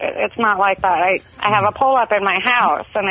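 A woman's unremarkable speaking voice at a medium pitch, with an American accent, fairly even intonation and a moderate pace. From Southern California. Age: 30s. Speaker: caller. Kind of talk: casual chat. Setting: phone call.

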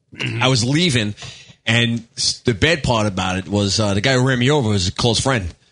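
A man speaks with a New York accent and lively intonation. His pace is fairly quick. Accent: New York (Staten Island). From Staten Island, New York. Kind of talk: casual banter. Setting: studio.

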